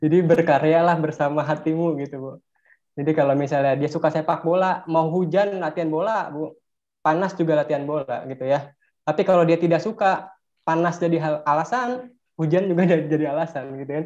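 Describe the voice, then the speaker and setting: A man with a plain, everyday voice talks at a fairly quick pace, his pitch fairly high and his intonation fairly even, over a quiet background. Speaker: teacher. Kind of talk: online webinar presentation. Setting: video call. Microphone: video call.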